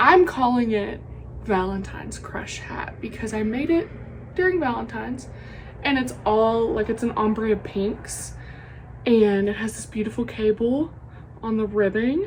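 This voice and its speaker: A woman speaks with a Southern US accent. Noticeable background noise is audible. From US South. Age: 20s. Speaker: knitting podcaster. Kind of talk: casual chat. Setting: home craft room.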